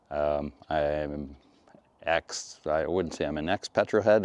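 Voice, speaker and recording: A man with a Western Canadian accent speaks at a fairly slow pace. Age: 60s. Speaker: retired mechanic and EV vlogger. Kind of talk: casual video blog.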